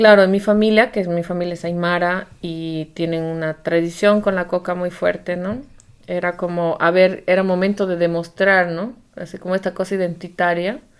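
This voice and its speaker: In a plain, everyday voice, a woman speaks at a moderate pace with a fairly low pitch and fairly even intonation. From Bolivia, Amazon lowlands. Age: 40s. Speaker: podcast co-host. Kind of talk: casual chat.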